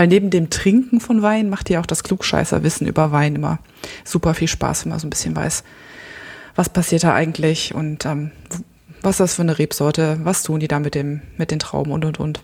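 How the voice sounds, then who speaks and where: Calm-toned speech from a woman with a very deep, low pitch, at a fairly quick pace. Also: ordinary pitch variation. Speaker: photographer and podcaster. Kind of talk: casual chat.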